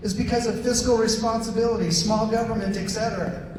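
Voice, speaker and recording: Amid noticeable background noise and audible room echo, a man talks at an extremely high pitch with fairly even intonation. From South Korea. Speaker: political activist. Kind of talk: public forum talk.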